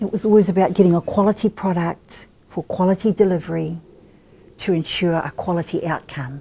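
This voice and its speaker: With a dark, mellow tone and a somewhat breathy quality, a woman talks at a moderate pace in a fairly low pitch, her intonation fairly even. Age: 60s. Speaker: Māori language teacher and academic. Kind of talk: interview.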